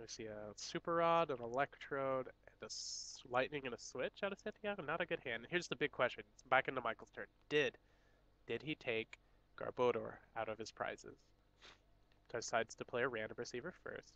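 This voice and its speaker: A man's medium-pitched voice, fairly quick, with a bright, sharp tone, big swings in loudness, lively intonation and a dry, close sound with no echo. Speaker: tournament stream commentator. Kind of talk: live commentary.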